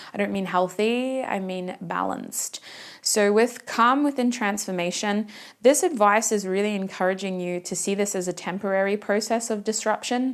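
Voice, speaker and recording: Her pitch is medium for a woman, and this woman's voice rises and falls with ordinary variation. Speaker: tarot reader. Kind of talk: tarot reading to camera. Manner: fast.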